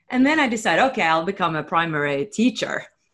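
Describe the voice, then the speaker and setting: Against a quiet background, a woman with a Norwegian accent speaks in a bright, sharp tone with lively intonation. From Norway. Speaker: spiritual YouTube host, former singer. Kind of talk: interview conversation.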